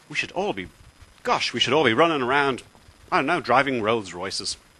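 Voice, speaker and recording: Here a man speaks with an Irish accent at a medium pitch. His pace is fairly quick and his pitch swings very widely. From Ireland. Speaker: political video blogger. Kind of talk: political rant. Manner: animated.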